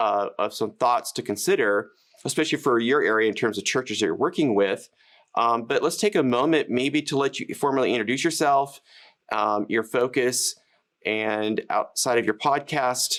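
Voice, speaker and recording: An ordinary speaking voice with an American accent, ordinary pitch variation and a moderate pace, in a very clean recording with a silent background. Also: man, medium pitch for a man. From United States. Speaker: live streaming educator and channel host. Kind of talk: casual interview chat.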